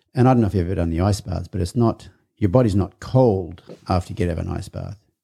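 In an Australian accent, a man talks at a very fast pace in a very deep, low pitch, somewhat breathy and dark and mellow in tone, with ordinary pitch variation. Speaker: podcast host.

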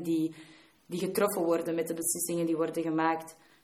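The voice comes through with monotone, flat intonation, audible room echo and noticeable background noise. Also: woman. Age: 20s. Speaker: student and youth work volunteer. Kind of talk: keynote talk.

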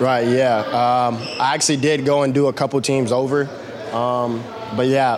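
Over noticeable background noise, a man speaks at a medium pitch in a monotone, flat intonation with very even loudness. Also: moderate pace. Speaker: college basketball player, draft prospect. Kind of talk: post-workout interview. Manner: halting.

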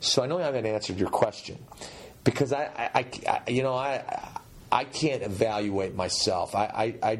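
A man talks over noticeable background noise. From Turkish family. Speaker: pastor and former football player turned sports broadcaster. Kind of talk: interview.

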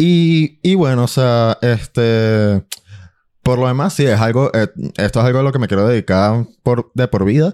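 With a Caracas accent, a man at medium pitch speaks at a fairly slow pace with ordinary pitch variation, a dark, mellow tone and very even loudness, in a dry, close recording with no echo that is very clean against a silent background. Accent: Venezuelan Spanish (Caracas). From Venezuela, Caracas. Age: 20s. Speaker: musician. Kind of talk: casual chat.

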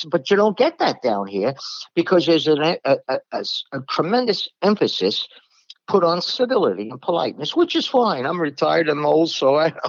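A man talks in a Brooklyn accent at a high pitch. His pitch swings very widely at a moderate pace. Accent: New York (Brooklyn). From New York, Brooklyn. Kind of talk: religious discussion podcast. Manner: blunt, direct.

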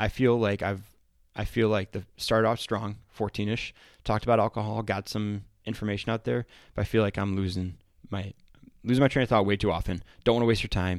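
Speaking at a fairly quick pace, a man uses a normal speaking voice, fairly low in pitch with fairly even intonation, on a very clean recording with a silent background. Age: 30s. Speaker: firefighter podcast host. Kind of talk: casual solo talk. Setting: podcast studio.

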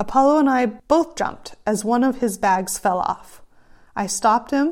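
With an American accent, a woman speaks at a high pitch and a moderate pace. Her intonation is lively. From California. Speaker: podcast host and horseback traveler. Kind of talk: storytelling, reading aloud from her own short stories.

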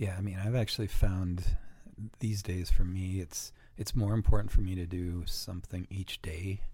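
A man speaks in a very deep, low voice with a dark, mellow, somewhat breathy tone. His pace is moderate and his intonation fairly even. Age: 40s. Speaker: company vice president and amateur racer. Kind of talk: casual chat.

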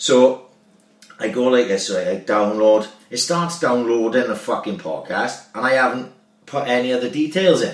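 A man with a Welsh accent speaks at a moderate pace with lively intonation. Noticeable background noise can be heard. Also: medium pitch for a man. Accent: Swansea Welsh. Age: 30s. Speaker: podcast host, former amateur footballer. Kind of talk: casual chat.

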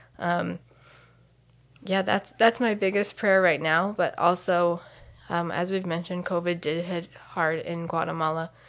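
With a Midwestern American accent, a woman speaks at a fairly slow pace in a fairly low voice and fairly even intonation. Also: very clean recording, silent background. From US Midwest (Delaware, Ohio). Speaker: missionary. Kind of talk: interview.

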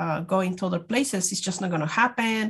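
Against a quiet background, a woman speaks in a Spanish accent at a medium pitch. Her voice is somewhat breathy with ordinary pitch variation. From Mexico. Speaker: immigrant rights activist. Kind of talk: interview.

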